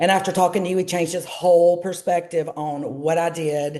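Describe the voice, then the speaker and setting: At a moderate pace, a woman speaks in a fairly low pitch with a dark, mellow tone and ordinary pitch variation. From US South, Georgia. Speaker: travel business entrepreneur. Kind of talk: interview. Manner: chatty.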